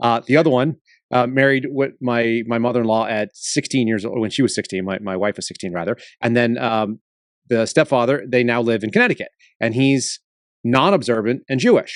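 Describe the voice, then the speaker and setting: Speaking fairly quickly in a normal speaking voice with an American accent, this speaker sounds dry and close with no echo against a quiet background. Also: man. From Texas. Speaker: former FBI agent, whistleblower. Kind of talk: interview conversation.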